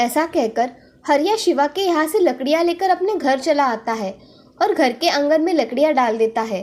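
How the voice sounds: Lively intonation and a slightly mellow tone come through at a moderate pace. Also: woman, high pitch for a woman.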